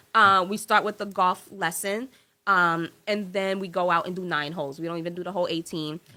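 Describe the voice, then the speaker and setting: Bright and sharp in tone, an animated speaker with an American accent talks at a fairly quick pace on a very clean recording with a silent background. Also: woman, medium pitch for a woman. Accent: New York accent, slips out. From New York. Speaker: business consultant and nonprofit founder. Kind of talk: casual interview.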